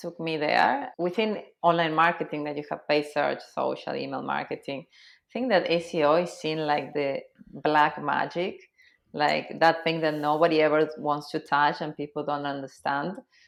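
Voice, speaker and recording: Against a quiet background, a voice with vocal fry and an Argentine accent moves at a moderate pace. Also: woman, very deep, low pitch for a woman, ordinary pitch variation. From Argentina, Cordoba. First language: Spanish. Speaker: SEO consultant. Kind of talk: podcast interview.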